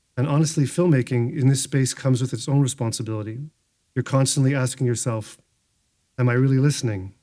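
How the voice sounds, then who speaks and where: The man's voice has a dark, mellow tone and medium pitch. He talks at a fairly quick pace with ordinary pitch variation. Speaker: filmmaker. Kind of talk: speech. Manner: fast; reading aloud from phone.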